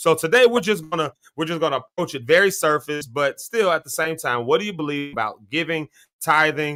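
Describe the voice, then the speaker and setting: Speaking fairly quickly with a slight Southern US accent, a man has a fairly high, bright, sharp voice with ordinary pitch variation and a dry, close sound with no echo. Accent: slight Southern US country. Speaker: talk show host. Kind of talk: live show discussion. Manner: halting, repeats words.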